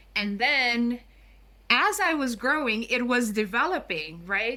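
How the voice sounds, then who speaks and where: With a Curaçao accent, a woman speaks in a bright, sharp tone at a fairly high pitch, her intonation lively. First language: Papiamento. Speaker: guest on language and culture. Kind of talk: podcast interview.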